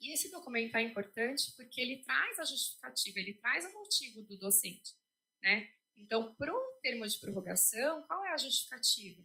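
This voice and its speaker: A woman speaks at a high pitch with very wide pitch swings and a bright, sharp tone. Her pace is moderate. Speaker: legal office staff presenter. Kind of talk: institutional presentation. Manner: hesitant, many fillers.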